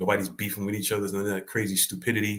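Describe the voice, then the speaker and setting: Speaking with a New York accent, a man has a fairly low pitch. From New York City (the Bronx). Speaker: comedy clip channel host. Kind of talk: livestream chat reading comments. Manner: casual, laid-back.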